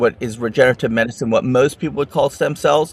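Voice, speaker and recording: A man talks in an ordinary speaking voice, medium in pitch with ordinary pitch variation. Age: 60s. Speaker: regenerative medicine expert. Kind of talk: interview.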